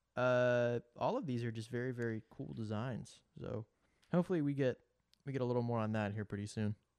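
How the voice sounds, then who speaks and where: A man with an ordinary speaking voice talks at a medium pitch and a fairly quick pace with ordinary pitch variation. The sound is dry and close, with no echo. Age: 20s. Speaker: podcast co-host. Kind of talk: casual chat.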